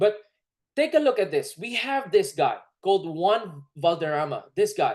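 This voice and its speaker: A woman speaks in a Filipino accent with an animated tone. Her pace is fairly slow, and the background is quiet. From Philippines. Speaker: network marketing presenter. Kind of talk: sales pitch.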